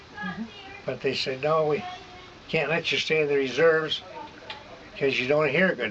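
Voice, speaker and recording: A man talks with a Midwestern American accent. Noticeable background noise accompanies him. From Michigan. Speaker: war veteran. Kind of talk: oral history interview answer.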